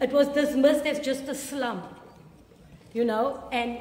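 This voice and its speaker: In a space with audible room echo and noticeable background noise, a woman speaks at a high pitch with ordinary pitch variation. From South Africa. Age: 60s. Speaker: museum educator. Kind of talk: guided tour talk. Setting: museum.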